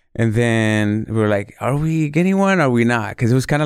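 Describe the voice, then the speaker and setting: A man's normal speaking voice, medium in pitch, at a fairly quick pace, with an American accent. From born Mexico City, raised California. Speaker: chef. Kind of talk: casual interview.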